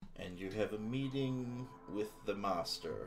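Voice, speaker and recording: A man puts on a gruff, hissing character voice at a medium pitch, speaking at a fairly slow pace over clear background noise. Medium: actual play. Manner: blunt, suspicious.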